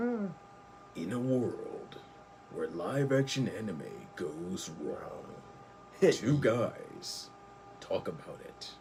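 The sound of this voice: A man performs a put-on character voice in a dramatic tone, fairly high-pitched and very slow, with big swings in loudness over clear background noise.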